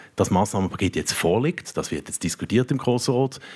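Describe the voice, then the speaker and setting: A man talks at a fairly quick pace. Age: 40s. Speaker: politician. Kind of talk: panel debate. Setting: stage with audience.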